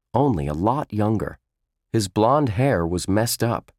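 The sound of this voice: Over a quiet background, the intonation is lively in this unforced reading voice.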